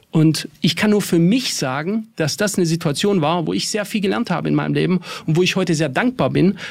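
Lively in intonation, a man speaks at a high pitch and a fairly quick pace. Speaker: financial market analyst. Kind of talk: casual chat.

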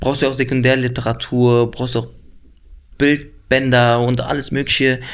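A man speaks at a medium pitch, in a monotone, flat intonation. He goes at a fairly slow pace, with long, frequent pauses. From Berlin, Neukölln. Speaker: actor. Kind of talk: interview. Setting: studio. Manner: clear articulation.

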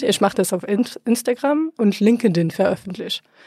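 Dark and mellow in tone, this voice moves at a moderate pace with ordinary pitch variation on a very clean recording with a silent background. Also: woman. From France. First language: French (speaking German). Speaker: podcaster. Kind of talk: interview conversation. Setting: studio.

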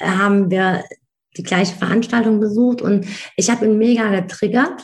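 A woman's voice with an ordinary speaking voice, a fairly high pitch, fairly even intonation and a moderate pace. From Germany, Wiesbaden (Hesse), Turkish family background. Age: 40s. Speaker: speaker and coach. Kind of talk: interview.

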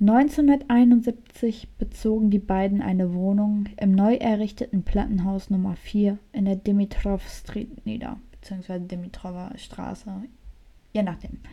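Soft-spoken and somewhat breathy, a woman talks at a fairly slow pace and medium pitch, her tone dark and mellow with ordinary pitch variation. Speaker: true crime podcast co-host. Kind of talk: casual chat with true crime storytelling. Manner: soft-spoken, quiet. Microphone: too quiet.

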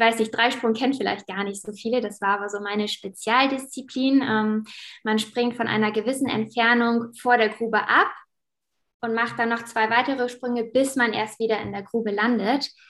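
A woman's fairly high voice at a moderate pace with monotone, flat intonation, on a very clean recording with a silent background. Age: 20s. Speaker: teacher and former athlete. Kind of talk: interview.

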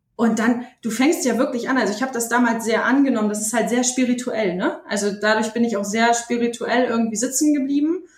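A woman talks at a fairly quick pace in an ordinary speaking voice, her fairly high pitch moving with ordinary variation and hardly any pauses. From Bremen, northern Germany. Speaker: poetry slammer. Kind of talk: interview.

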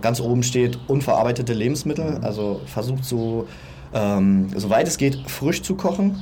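A man at a moderate pace and medium pitch, with lively intonation, audible room echo and noticeable background noise. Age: 30s. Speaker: personal trainer and aspiring entrepreneur. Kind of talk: casual interview. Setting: outdoors on a sunny balcony.

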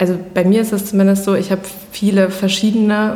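A woman's medium-pitched, flat, monotone voice amid noticeable background noise and audible room echo. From Germany, Iserlohn. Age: 20s. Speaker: fashion brand founder. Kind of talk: interview conversation. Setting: office.

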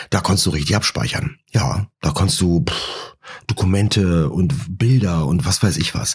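Speaking at a fairly slow pace, a man uses a very deep, low pitch with very wide pitch swings. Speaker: podcast host. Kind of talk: casual monologue.

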